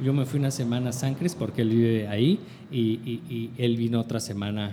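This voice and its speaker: A man with a Mexican accent speaks at a moderate pace and medium pitch, with ordinary pitch variation. Background noise is noticeable. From northern Mexico. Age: 30s. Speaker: multimedia producer and photographer. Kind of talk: casual chat.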